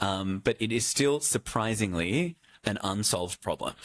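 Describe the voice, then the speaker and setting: A man speaks with an Australian accent. The recording is very clean and dry, close-sounding, with no echo and a silent background. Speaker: healthcare AI executive, former doctor. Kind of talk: fireside chat with audience. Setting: stage with audience. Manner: hesitant, repeats words; rambling, casual.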